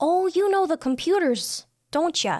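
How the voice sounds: Using a put-on character voice with an extremely high pitch, a woman speaks at a moderate pace with lively intonation.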